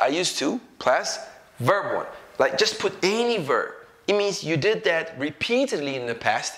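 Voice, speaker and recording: Speaking at a moderate pace with an Ethiopian accent, a man uses a high pitch with very wide swings. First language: Amharic. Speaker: English teacher. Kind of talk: tutorial. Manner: conversational, checks in with 'okay?' and 'right?'.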